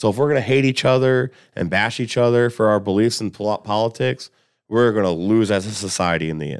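A man with an American accent, a plain, everyday voice, speaks at a fairly quick pace in a fairly low pitch with lively intonation on a very clean recording with a silent background. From Columbus, Indiana, US Midwest. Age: 30s. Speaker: cook. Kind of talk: casual chat. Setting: studio.

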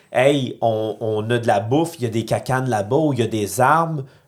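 This man talks at a moderate pace with a medium pitch and ordinary variation. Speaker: podcast host. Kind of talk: casual chat.

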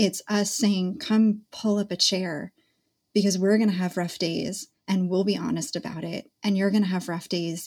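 Somewhat breathy and medium in pitch, a woman speaks at a moderate pace with ordinary pitch variation on a very clean recording with a silent background. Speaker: podcast host, dietitian.

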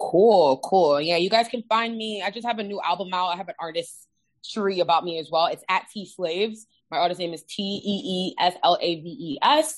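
In a normal speaking voice, the speaker goes at a moderate pace with lively intonation and big swings in loudness. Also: woman, medium pitch for a woman. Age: 30s. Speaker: podcast co-host and musician. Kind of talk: casual chat.

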